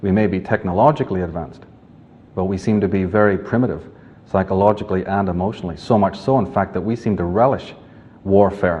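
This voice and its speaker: Here a man speaks with a Northern Irish accent. His pace is fairly quick, and his pitch varies in an ordinary way. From Northern Ireland, Belfast. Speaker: author and lecturer. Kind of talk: lecture. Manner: formal.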